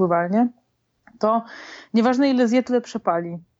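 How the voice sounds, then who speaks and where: An unremarkable speaking voice, a woman's, fairly high and fairly quick with lively intonation. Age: 20s. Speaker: software developer and amateur triathlete. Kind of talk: interview.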